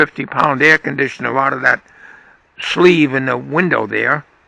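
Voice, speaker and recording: This man's voice has vocal fry and a bright, sharp tone, recorded dry and close with no echo. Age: 80s+. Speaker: vlogger. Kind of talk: casual monologue.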